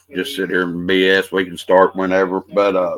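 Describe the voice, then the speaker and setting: A man with an Appalachian accent and a fairly low pitch. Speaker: podcast host. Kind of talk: casual podcast conversation.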